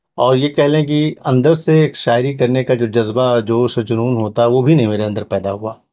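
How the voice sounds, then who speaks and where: A man with a medium pitch, an ordinary speaking voice and ordinary pitch variation. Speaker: journalist. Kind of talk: podcast interview host.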